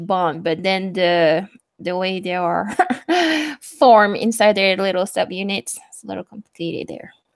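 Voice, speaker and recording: A woman speaks at a medium pitch and moderate pace. Her intonation is fairly even. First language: not English. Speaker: student. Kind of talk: casual chat.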